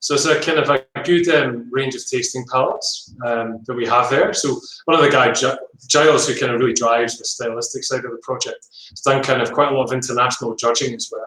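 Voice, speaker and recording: Speaking at a fairly quick pace in a Scottish accent, a man lets his loudness swing widely. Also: medium pitch for a man, fairly even intonation. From Scotland, Edinburgh. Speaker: winemaker. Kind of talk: casual interview.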